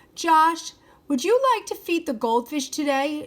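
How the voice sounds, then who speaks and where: A woman puts on a squeaky, high-pitched character voice with a gentle tone and lively intonation. She speaks at a fairly slow pace. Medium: read story. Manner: gentle, encouraging.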